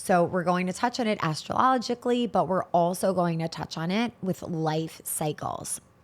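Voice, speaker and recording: A woman's unremarkable speaking voice at medium pitch, fairly slow in pace, with ordinary pitch variation. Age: 30s. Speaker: spiritual podcast host. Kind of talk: solo podcast monologue.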